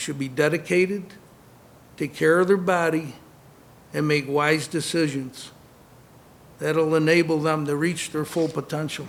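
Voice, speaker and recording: A man at a fairly high pitch, moderate pace and fairly even intonation, with long, frequent pauses and audible room echo. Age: 60s. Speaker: former boxer and concussion awareness speaker. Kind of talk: conference speech.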